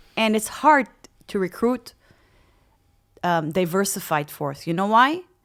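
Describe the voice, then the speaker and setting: On a very clean recording with a silent background, a woman speaks at a medium pitch and a moderate pace. Her tone is animated, with very wide pitch swings. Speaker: HR executive. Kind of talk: interview.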